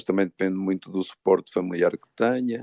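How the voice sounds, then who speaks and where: His voice is very deep and low, with a dark, mellow tone. The man talks at a moderate pace with fairly even intonation over a quiet background. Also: dry, close sound with no echo. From northern Portugal, Douro region. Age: 60s. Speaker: psychologist. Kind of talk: radio interview.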